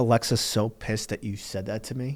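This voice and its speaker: A man's voice comes through loud. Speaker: podcast co-host and studio owner. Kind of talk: casual chat.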